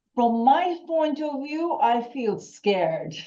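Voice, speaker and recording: Her pace is very slow and her tone dark and mellow. This woman's pitch swings very widely. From German family long settled in Turkey. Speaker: workshop participant. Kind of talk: audience comment in a seminar. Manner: halting.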